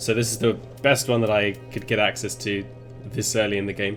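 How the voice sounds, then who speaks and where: Music plays in the background as a man speaks at a moderate pace. His medium-pitched voice keeps fairly even intonation. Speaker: gaming let's play host. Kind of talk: gameplay commentary.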